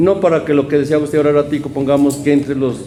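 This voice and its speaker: The recording of a man carries noticeable background noise and audible room echo. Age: 60s. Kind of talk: community interview. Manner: halting.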